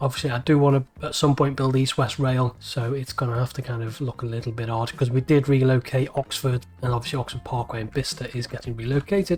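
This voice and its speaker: Speaking with a Liverpool accent, a man keeps a fairly quick pace, a medium pitch and fairly even intonation. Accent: Scouse. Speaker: video game let's play creator. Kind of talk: gameplay commentary. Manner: casual, thinking aloud.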